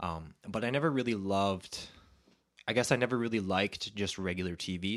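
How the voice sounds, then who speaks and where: A man with a Western Canadian accent, fairly low pitch and ordinary pitch variation, on a very clean recording with a silent background. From Canada (Alberta). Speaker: videographer and entrepreneur. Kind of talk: podcast interview.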